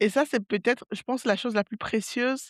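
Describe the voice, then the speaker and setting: A woman talks at a fairly quick pace with ordinary pitch variation. The sound is dry and close with no echo, in a very clean recording with a silent background. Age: 30s. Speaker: podcast host. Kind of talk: casual solo podcast monologue. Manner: calm, not very dynamic; hesitant, many fillers.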